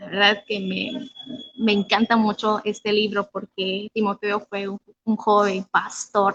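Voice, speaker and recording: Speech comes at a fairly slow pace in a dry, close sound with no echo. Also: woman. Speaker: youth preacher. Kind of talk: sermon. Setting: online livestream.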